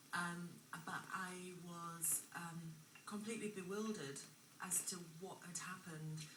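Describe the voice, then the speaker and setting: Speaking at a fairly slow pace with long, frequent pauses, a woman uses a fairly low pitch and fairly even intonation, with audible room echo and noticeable background noise. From England (raised from age five, born abroad). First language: not English (learned English at school). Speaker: former drug addict interviewed on TV. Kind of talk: TV interview, personal testimony. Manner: hesitant, many fillers.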